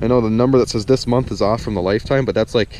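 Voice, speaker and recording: A man speaks in a dry sound with no echo. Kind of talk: casual vlog chat. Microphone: phone near.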